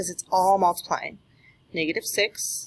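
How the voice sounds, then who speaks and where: A woman speaks at a medium pitch. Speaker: math teacher. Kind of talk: tutorial.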